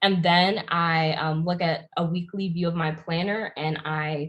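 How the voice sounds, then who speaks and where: A woman's fairly low, somewhat breathy voice with an American accent. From Pennsylvania, US. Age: 20s. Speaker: YouTuber and entrepreneur. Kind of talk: interview.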